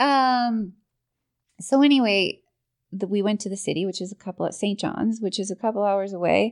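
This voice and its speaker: A woman speaks with a Newfoundland accent and ordinary pitch variation. The background is quiet. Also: medium pitch for a woman, moderate pace. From Newfoundland, Portugal Cove South. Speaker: person in addiction recovery. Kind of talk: personal recovery testimony. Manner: hesitant, with many fillers.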